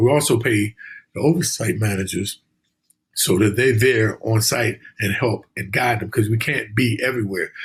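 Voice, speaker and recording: This man talks at a moderate pace in a somewhat breathy, medium-pitched voice with ordinary pitch variation. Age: 60s. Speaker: financial education instructor. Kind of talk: interview. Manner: halting.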